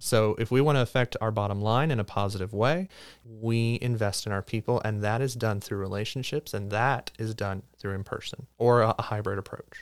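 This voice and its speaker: A man with a plain, everyday voice and a fairly low pitch talks at a moderate pace with fairly even intonation and hardly any pauses, in a very clean recording with a silent background. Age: 20s. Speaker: marketing and professional development director. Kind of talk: podcast discussion. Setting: studio.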